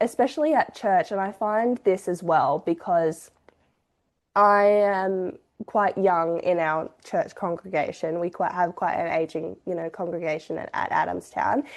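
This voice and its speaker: In an Australian accent, a woman talks at a fairly slow pace with a medium pitch and ordinary pitch variation. The background is quiet. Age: 20s. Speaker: podcast co-host. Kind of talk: casual chat.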